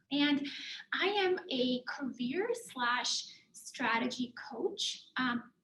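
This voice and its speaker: A woman speaks in a high voice over noticeable background noise. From Germany. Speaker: career and life coach. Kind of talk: presentation.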